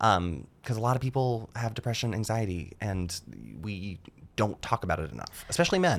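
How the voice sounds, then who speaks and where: An ordinary speaking voice, a man's, fairly low and with an American accent, moving at a fairly quick pace with lively intonation. The recording is very clean, with a silent background. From US South, rural North Georgia. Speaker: stand-up comedian. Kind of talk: casual chat.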